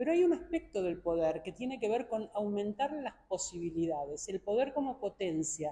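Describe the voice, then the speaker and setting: Somewhat breathy and dark, mellow in tone, the voice moves at a moderate pace with very wide pitch swings. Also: woman. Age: 70s. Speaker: philosopher and academic. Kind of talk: press conference interview. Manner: formal.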